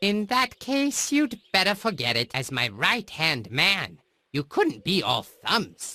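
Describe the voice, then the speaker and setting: Fairly slow and at a middle pitch, this put-on character voice sounds female and has very wide pitch swings. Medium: video game. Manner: boastful, bragging.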